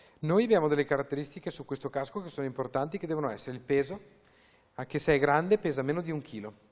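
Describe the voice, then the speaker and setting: With a slight Venetian accent, a man speaks at a very fast pace, his fairly high pitch showing ordinary variation. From Veneto, Italy. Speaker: racing driver. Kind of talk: TV interview. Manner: animated.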